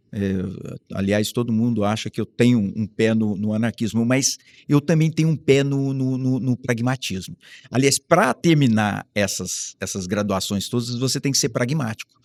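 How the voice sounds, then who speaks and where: This man has a normal speaking voice, medium in pitch with ordinary pitch variation, and he speaks at a moderate pace in a dry, close sound with no echo. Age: 60s. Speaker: professor. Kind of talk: interview.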